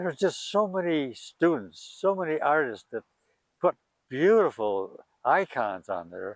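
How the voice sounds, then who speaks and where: A man with a fairly high pitch speaks at a fairly slow pace with very wide pitch swings, in a dry, close sound with no echo. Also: very clean recording, silent background. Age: 80s+. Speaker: community advocate. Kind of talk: documentary interview.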